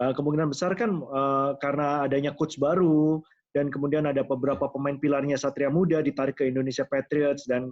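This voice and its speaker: A man with a fairly high pitch speaks very fast. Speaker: sports commentator. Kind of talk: interview host.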